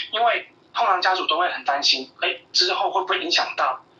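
Spoken at a moderate pace with a Taiwanese accent, the voice sits over noticeable background noise. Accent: Taiwanese Mandarin. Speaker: pediatrician. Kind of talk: interview. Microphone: clear phone line.

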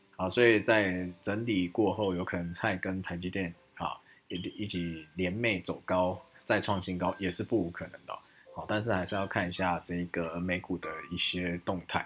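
Intonation stays monotone and flat at a moderate pace, delivered in a Taiwanese accent. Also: man, very deep, low pitch for a man. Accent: Taiwanese Mandarin. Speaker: stock market podcast host. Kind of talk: market analysis monologue. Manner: many filler sounds.

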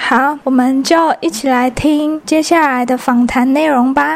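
Her pitch is high, with ordinary variation. The woman speaks at a fairly slow pace. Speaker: podcast host. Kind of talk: casual interview; solo intro narration. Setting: outdoors in a park.

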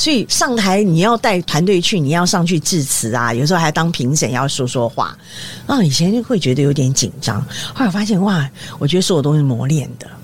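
Over noticeable background noise, a woman with a very deep, low voice speaks fairly quickly, her pitch swinging very widely. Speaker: retired TV news director. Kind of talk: casual interview chat.

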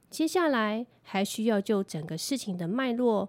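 At a fairly slow pace, a woman speaks in an unremarkable speaking voice with ordinary pitch variation. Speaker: lawyer. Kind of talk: scripted legal explainer podcast.

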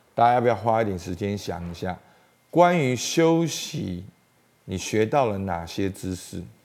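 The man's voice has a fairly low pitch. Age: 40s. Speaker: pastor. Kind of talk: sermon.

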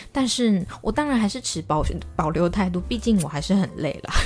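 This woman's voice is fairly low in pitch. It carries vocal fry. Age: 20s. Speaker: podcast host. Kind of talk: casual monologue. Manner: fast.

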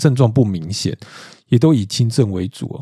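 In a Taiwanese accent, a man speaks with lively intonation and a dark, mellow tone. The recording is very clean, with a silent background. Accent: Taiwanese Mandarin. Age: 40s. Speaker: podcast host. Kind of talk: solo monologue podcast. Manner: casual, frequent filler particles.

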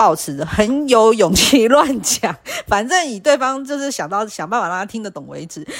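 A woman at a moderate pace. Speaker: podcast host. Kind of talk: solo casual podcast monologue. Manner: hesitant, many fillers.

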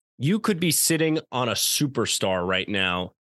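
Speaking at a fairly slow pace with an American accent, a man sounds animated, his intonation lively, in a dry, close sound with no echo over a quiet background. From Long Island, New York. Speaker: sports podcast co-host. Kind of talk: casual chat.

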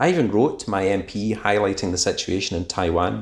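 Speaking in a Scottish accent, the man keeps a moderate pace. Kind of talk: recorded voice message.

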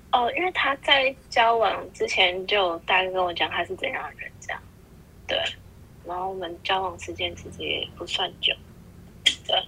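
A woman at a moderate pace, with long, frequent pauses, big swings in loudness and noticeable background noise. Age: 20s. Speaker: podcast guest. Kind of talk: casual chat.

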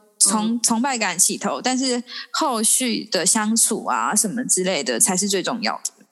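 Lively intonation runs through a woman's unremarkable speaking voice as she goes at a moderate pace. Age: 20s. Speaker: podcast guest. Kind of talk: casual chat.

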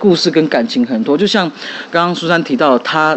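Noticeable background noise beneath a fairly quick delivery. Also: man. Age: young. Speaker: podcast host. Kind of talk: casual chat.

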